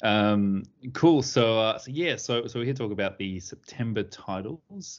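A man talks with an Australian accent. His pace is moderate and his pitch varies in an ordinary way. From Sydney, Australia. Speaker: podcast host. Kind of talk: casual chat.

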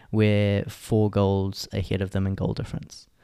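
A man speaks at a fairly low pitch with a dark, mellow tone and a monotone, flat intonation. His pace is moderate, and the recording is very clean with a silent background. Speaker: podcast co-host. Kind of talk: casual chat.

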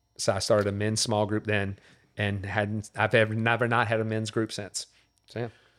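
On a very clean recording with a silent background, a man with a Louisiana accent speaks at a moderate pace and a fairly low pitch, his intonation monotone and flat. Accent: Louisiana Southern US. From Louisiana, New Orleans area. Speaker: pastor. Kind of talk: casual chat.

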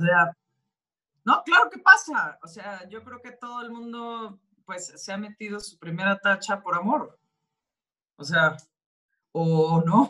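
A woman of medium pitch with a Mexican accent, very slow pace, long, frequent pauses, lively intonation and big swings in loudness. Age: 40s. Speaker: actress. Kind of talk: interview.

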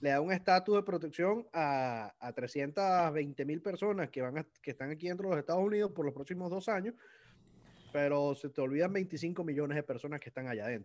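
Fairly high in pitch, this man talks at a fairly quick pace. His pitch varies in an ordinary way. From Venezuela. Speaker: lawyer and political commentator. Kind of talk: casual interview chat. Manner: halting, repeats words.

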